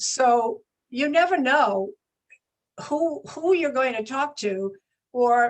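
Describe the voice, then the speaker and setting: Lively, high-pitched female voice. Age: 70s. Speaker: health and wellness mentor. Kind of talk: podcast interview.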